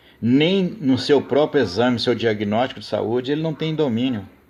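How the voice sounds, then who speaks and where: The man talks at a moderate pace. His medium-pitched voice shows ordinary pitch variation. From Brazil, Rio de Janeiro state countryside. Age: 60s. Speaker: political commentator. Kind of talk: live stream monologue. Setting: live stream. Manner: impassioned, emphatic.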